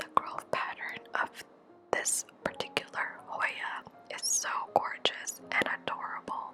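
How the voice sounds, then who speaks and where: Whispering at a fairly slow pace, a woman leaves long, frequent pauses while music plays in the background. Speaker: houseplant vlogger. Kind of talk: ASMR plant care vlog narration. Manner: whispered; calm, soft-spoken.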